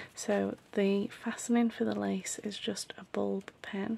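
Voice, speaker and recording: The voice is quiet, and there is noticeable background noise. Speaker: craft maker and shop owner. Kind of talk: casual show-and-tell tutorial. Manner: hushed, quiet; hesitant, many fillers.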